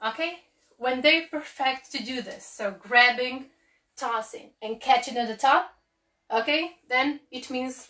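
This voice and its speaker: A woman speaks in a raised, projected voice with a high pitch, a bright, sharp tone and ordinary pitch variation. Her pace is very slow, with long, frequent pauses and big swings in loudness. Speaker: cheerleading coach. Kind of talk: online tutorial. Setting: live stream. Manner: filler-heavy, halting.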